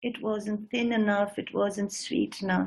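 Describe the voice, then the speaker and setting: A woman speaks with a somewhat breathy voice. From northeast India (Shillong). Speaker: singer and writer. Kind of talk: lecture demonstration. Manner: halting.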